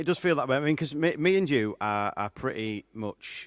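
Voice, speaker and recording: A man speaks with a Yorkshire accent. The sound is dry and close, with no echo. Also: very clean recording, silent background. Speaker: singer-songwriter hosting a live show. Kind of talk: casual live-stream chat. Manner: loud.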